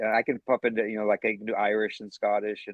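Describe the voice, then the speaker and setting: With a Maine accent, a man talks at a very fast pace. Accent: some Maine accent in conversation. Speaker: actor. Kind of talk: casual interview chat.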